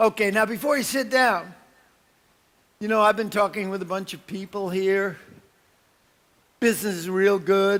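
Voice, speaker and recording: A man in a New York accent, high-pitched with ordinary pitch variation, at a moderate pace with long, frequent pauses and big swings in loudness. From New York, Brooklyn. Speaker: motivational speaker. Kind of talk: conference keynote. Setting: stage with audience. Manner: animated.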